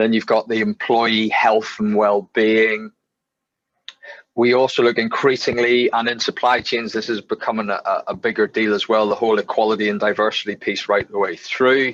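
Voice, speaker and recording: In a Northern Irish accent, a man speaks at medium pitch with monotone, flat intonation, the sound dry and close with no echo. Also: moderate pace. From Northern Ireland. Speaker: webinar co-presenter, sustainability consultant. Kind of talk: business webinar presentation.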